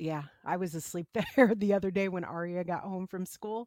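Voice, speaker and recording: In a plain, everyday voice, a woman with an American accent talks at a moderate pace and medium pitch with ordinary pitch variation, the sound dry and close with no echo. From US Midwest. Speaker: podcast co-host. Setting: remote call.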